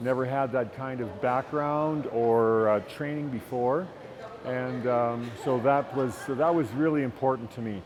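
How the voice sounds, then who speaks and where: Amid noticeable background noise, a man with a Canadian accent speaks at medium pitch, fairly slowly and with fairly even intonation. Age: 60s. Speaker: retired teacher, gym client. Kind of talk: testimonial interview. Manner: halting, many fillers.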